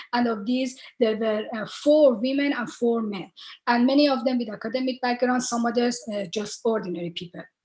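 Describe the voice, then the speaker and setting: With an Iranian accent, a woman at a high pitch talks at a fairly quick pace with ordinary pitch variation. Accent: Iranian (Persian) English. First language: Persian. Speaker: researcher. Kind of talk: panel talk. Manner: halting, many fillers.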